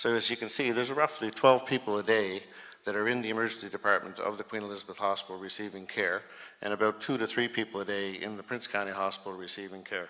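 Against a quiet background, a man with a fairly low pitch talks at a very fast pace in a bright, sharp tone with fairly even intonation. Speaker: health authority executive, physician. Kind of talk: slide presentation. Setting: community hall with audience. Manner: hesitant, many fillers. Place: hall.

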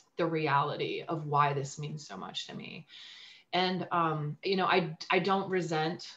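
A woman's fairly low-pitched voice, fairly even in intonation, at a fairly slow pace. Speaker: guest. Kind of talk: interview answer. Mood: reflective, personal. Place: home room. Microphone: video call.

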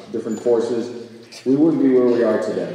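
The speaker is a man. There is strong echo from the room. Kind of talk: ceremony welcome speech. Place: hall. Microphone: podium.

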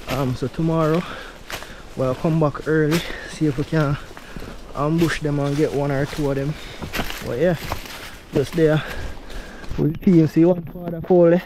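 The voice has a dark, mellow tone and fairly even intonation at a fairly slow pace. Long, frequent pauses break it up, with faint background noise behind. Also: man, fairly high pitch for a man.

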